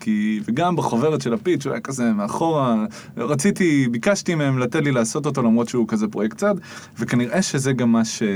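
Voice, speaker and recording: A man speaks at a moderate pace with a medium pitch and lively intonation, his loudness very even, over noticeable background noise. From Israel, Jerusalem. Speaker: spoken word artist and musician. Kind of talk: casual interview chat. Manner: animated.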